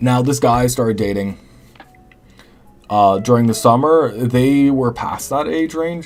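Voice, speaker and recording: A man's medium-pitched voice with lively intonation at a moderate pace, music playing in the background. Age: 20s. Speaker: live streamer. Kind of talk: casual chat. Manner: halting.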